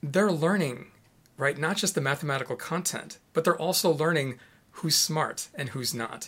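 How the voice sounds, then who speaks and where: A plain, everyday voice at a moderate pace, on a very clean recording with a silent background. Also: man. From US Midwest, Chicago. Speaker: education professor. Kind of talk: interview.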